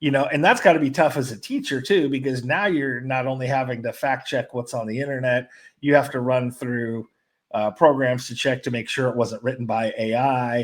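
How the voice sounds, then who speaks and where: A man's ordinary speaking voice at medium pitch, with fairly even intonation and a moderate pace, in a very clean recording over a silent background. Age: 40s. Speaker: sports show host. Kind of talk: casual chat.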